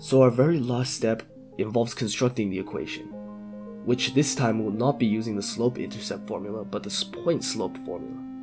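Music plays in the background as a man talks at a medium pitch and moderate pace. He has ordinary pitch variation and hardly any pauses. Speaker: math tutorial creator. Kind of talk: educational tutorial narration.

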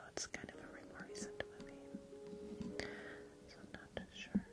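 Whispering over music in the background, a woman speaks at a fairly slow pace with big swings in loudness. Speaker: ASMR creator hosting a live stream. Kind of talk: casual chatty talk to a live chat audience. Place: home room. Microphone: studio mic.

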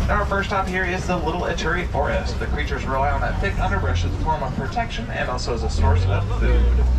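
A man speaks at a very fast pace with hardly any pauses. Loud background noise sits behind his voice. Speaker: safari tour guide. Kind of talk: tour guide commentary. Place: car.

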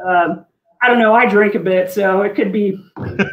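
Ordinary pitch variation from a woman, with audible room echo around her voice. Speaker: guest. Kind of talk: interview answer. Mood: enthusiastic, laughing. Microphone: video call.

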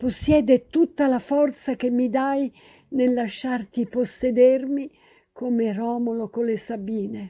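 A woman's high-pitched voice with a dark, mellow tone, fairly even in intonation, at a very slow pace. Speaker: actress, poet and historian. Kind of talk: dramatic literary reading of a love letter. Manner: passionate, emotional.

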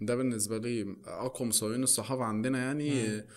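The pace is moderate. The speaker is a man. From Egypt. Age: 20s. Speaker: photographer; podcast guest. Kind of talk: casual chat. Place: studio. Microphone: studio mic.

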